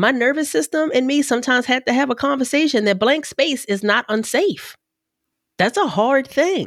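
This woman has a high voice with lively intonation. She keeps a moderate pace and very even loudness. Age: 40s. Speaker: podcast host. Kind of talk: casual chat; scripted outro.

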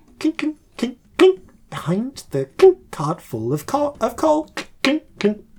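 A put-on character voice at a fairly high pitch drags along at a very slow pace.

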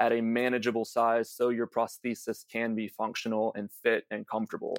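An American accent at a moderate pace, dry and close with no echo, on a very clean recording with a silent background. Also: man. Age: 30s. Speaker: reality TV contestant and patient advocate. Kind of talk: interview.

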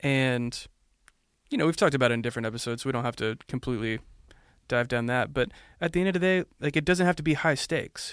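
A man talks at a very fast pace, yet with long, frequent pauses and ordinary pitch variation. The recording is very clean, with a silent background. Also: medium pitch for a man. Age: 20s. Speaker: podcast co-host. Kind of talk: casual chat.

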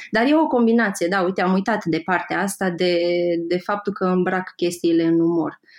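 With an unremarkable speaking voice, a woman talks at a medium pitch and moderate pace, her loudness very even and her pitch varying in an ordinary way, against a quiet background. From Moldova region. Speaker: graphic designer and Instagram creator. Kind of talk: podcast interview.

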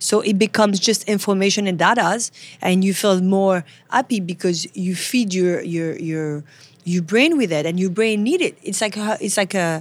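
Fairly quick delivery in a French accent with ordinary pitch variation. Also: woman. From France, Paris. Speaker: photographer. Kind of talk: casual interview. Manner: halting, with repeated words.

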